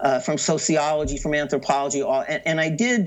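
A man with an American accent speaks at a fairly high pitch. His intonation is lively. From US, San Francisco Bay Area. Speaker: professor of Middle East studies. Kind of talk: academic interview. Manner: halting, many fillers and repetitions.

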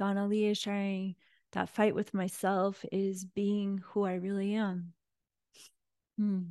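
A woman speaks very slowly at a medium pitch, her gentle, soothing tone held in a flat monotone and broken by long, frequent pauses, against a quiet background. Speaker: spiritual teacher leading online prayer group. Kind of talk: guided prayer invocation, devotional and meditative, with call-and-response affirmations; casual welcome chat then spiritual talk. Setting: online live group call. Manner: gentle, reverent, slow and soothing; warm, heartfelt, inviting the audience to repeat affirmations.

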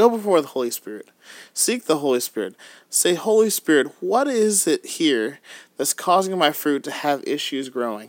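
A man talks at a moderate pace in an animated, upbeat tone, with fairly high pitch and very wide pitch swings. The recording is very clean, with a silent background. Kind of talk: fervent prayer, urgent intercession addressed to the Holy Spirit, in a sermon. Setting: podcast recording. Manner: animated, upbeat, excited.

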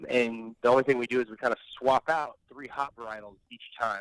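In an American accent, a plain, everyday voice speaks at a moderate pace. The sound is dry and close, with no echo. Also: man. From Florida (St. Petersburg), from pre-middle school. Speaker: head brewer and brewery co-owner. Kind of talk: casual interview.

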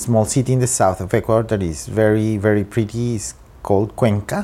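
Speaking at a fairly quick pace, a man with a fairly low pitch has a dark, mellow tone and fairly even intonation. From Colombia, Bogota. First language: Spanish. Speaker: trade diplomat. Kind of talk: interview. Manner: halting.

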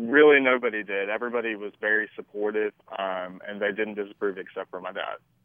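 A man with a Southern US accent talks at a very fast pace and a fairly low pitch. His intonation is fairly even, but his loudness swings widely. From US South, Shreveport, Louisiana. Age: 20s. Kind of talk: radio interview. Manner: hesitant, many fillers.

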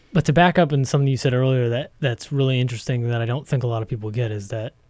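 At a very fast pace, a man talks in a medium pitch with a dark, mellow tone and ordinary pitch variation. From New England. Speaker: podcast host. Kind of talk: interview. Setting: studio.

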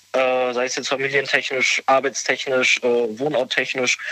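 Moderately paced speech from a fairly high-pitched man amid noticeable background noise. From western Germany, near Cologne. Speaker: caller. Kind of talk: phone call-in chat.

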